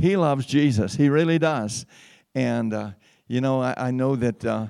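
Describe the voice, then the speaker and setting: Recorded very cleanly against a silent background, a man with a medium-pitched, dark, mellow tone speaks at a moderate pace with ordinary pitch variation. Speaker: pastor. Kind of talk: sermon. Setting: church. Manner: animated.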